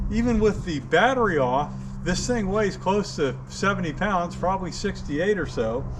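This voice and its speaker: A man talks at a moderate speed, with audible room echo and noticeable background noise in the recording. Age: 70s. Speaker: DIY fishing and outdoor video maker. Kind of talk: tutorial. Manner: casual.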